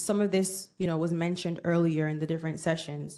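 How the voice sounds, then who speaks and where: A woman with a Jamaican accent talks at a fairly quick pace. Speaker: workshop speaker, bank professional. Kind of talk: conference presentation to students. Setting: conference room with student audience. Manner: interactive, conversational.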